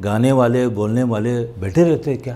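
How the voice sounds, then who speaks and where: In a dark, mellow tone, a man talks. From India. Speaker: voice over artist. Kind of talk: motivational talk. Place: studio. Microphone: lapel.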